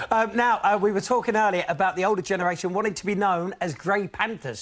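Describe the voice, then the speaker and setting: Over noticeable background noise, a speaker with a British accent talks at a very fast pace with ordinary pitch variation. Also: man. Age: young. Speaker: TV presenter. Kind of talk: reading out viewer emails.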